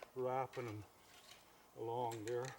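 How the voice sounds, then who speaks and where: A man at a medium pitch talks fairly slowly, with noticeable background noise behind him. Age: 80s+. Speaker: rancher demonstrating fence building. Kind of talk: casual how-to demonstration. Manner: hesitant, folksy, rambling.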